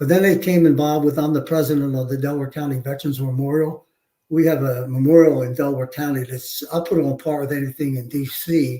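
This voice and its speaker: Talking at a very fast pace, a man with a Philadelphia accent keeps a fairly high pitch and monotone, flat intonation. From Philadelphia, US. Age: 70s. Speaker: war veteran and police chief. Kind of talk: interview storytelling. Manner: halting, many fillers.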